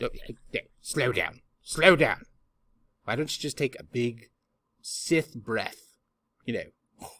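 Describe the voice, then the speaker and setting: A man's put-on character voice at a fairly high pitch and fairly slow pace, broken by long, frequent pauses. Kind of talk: comic overacting. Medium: solo performance. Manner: theatrical, rambling.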